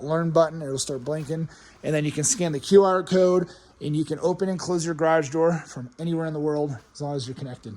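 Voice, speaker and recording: The speaker is a man with a fairly high pitch. His intonation stays fairly even. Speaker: real estate agent. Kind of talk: property tour walkthrough. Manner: fast.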